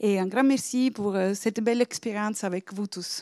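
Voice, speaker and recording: In an Italian accent, a woman speaks at a moderate pace with a fairly high pitch and fairly even intonation, the sound dry and close with no echo. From Italy. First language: Italian (speaking French). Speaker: project supervisor. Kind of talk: short speech at event. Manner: halting, many fillers.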